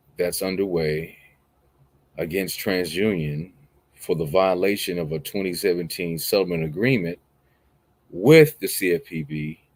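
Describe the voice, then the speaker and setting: With long, frequent pauses, a man talks at a fairly slow pace in a very deep, low pitch with ordinary pitch variation. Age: young. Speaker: online commentator. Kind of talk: news commentary monologue. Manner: casual, with filler words.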